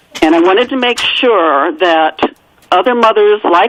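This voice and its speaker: A woman with a medium pitch speaks at a fairly slow pace with lively intonation, with noticeable background noise behind her. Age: 60s. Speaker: author. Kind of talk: radio interview.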